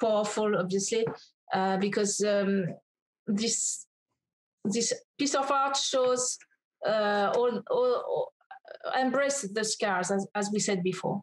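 A woman with a French accent, very slow pace, long and frequent pauses, ordinary pitch variation, and very even loudness. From France. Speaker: author and personal development coach; personal development coach. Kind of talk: interview. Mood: warm, earnest. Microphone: webcam.

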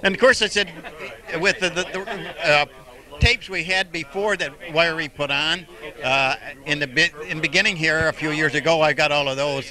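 A man speaks at a moderate pace and a fairly high pitch, with ordinary pitch variation. Noticeable background noise runs behind him. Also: dry sound with no echo. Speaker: navy veteran attending event. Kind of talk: casual interview chat. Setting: outdoors at a commemoration ceremony. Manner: halting, laughing. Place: open country. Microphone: handheld.

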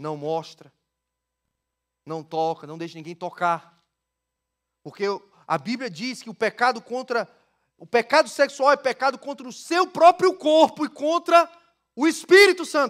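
A man speaks at a fairly slow pace in an extremely high pitch, with very wide pitch swings and big swings in loudness. His long pauses come often, and the background is quiet. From Brazil, Ceará (Northeast). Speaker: pastor. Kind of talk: sermon. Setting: church. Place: church. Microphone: headset.

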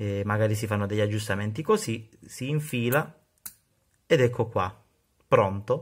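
A man speaks at a moderate pace, somewhat breathy, with ordinary pitch variation. Long, frequent pauses stand out against a quiet background. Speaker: watch hobbyist YouTuber. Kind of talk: tutorial. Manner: casual, hesitant with fillers. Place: workshop. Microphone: phone near.

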